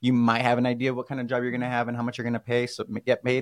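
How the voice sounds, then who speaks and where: A man talks at a very fast pace with a medium pitch. The sound is dry and close with no echo. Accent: American. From California. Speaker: mortgage podcast host. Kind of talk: casual chat.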